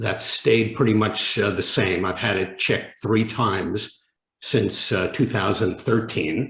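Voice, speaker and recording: A man's fairly low voice, somewhat breathy, at a fairly slow pace. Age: 70s. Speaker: prospective patient. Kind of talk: webinar Q&A. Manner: halting.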